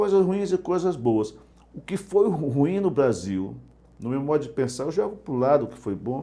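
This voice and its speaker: Fairly high in pitch yet dark and mellow in tone, a man speaks at a fairly quick pace with lively intonation. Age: 50s. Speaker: journalist and interview host. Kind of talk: interview conversation. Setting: live web broadcast.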